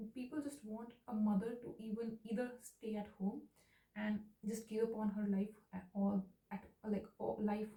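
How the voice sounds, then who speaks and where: Fairly high-pitched and somewhat breathy, a woman with a dark, mellow tone speaks at a fairly slow pace with long, frequent pauses. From India. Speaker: new mother, video diarist. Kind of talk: personal video diary addressed to her baby son. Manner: emotional, ranting.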